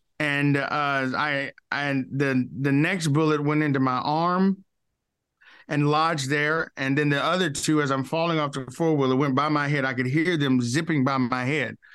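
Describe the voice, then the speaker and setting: This man has a Southern US accent and a fairly high pitch. His intonation is flat and monotone, his loudness very even, and the background quiet. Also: moderate pace. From Arkansas. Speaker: pastor. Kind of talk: testimony. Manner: preacherly, emphatic.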